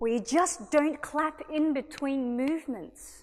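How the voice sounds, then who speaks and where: Here is a woman with an Australian accent. Her tone is animated. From Australia (Sydney). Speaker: singer and violinist. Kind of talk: public talk. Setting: stage with audience.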